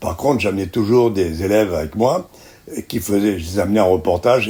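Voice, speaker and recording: Over noticeable background noise, a man speaks at a moderate pace and fairly low pitch with ordinary pitch variation. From Algeria. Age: 90s. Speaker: veteran journalist. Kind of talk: interview. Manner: halting.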